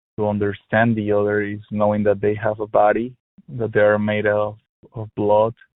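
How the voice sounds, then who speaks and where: This man speaks with a Spanish accent at a moderate pace. His fairly low voice stays monotone, with flat intonation. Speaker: helpline caller. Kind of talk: personal phone conversation. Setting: phone call. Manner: halting, many fillers and repetitions.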